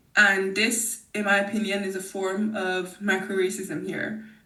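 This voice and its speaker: Audible room echo surrounds a woman's bright, sharp tone at medium pitch. Her intonation stays fairly even. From Nigeria. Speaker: podcast guest. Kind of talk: casual interview conversation. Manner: hesitant, with fillers.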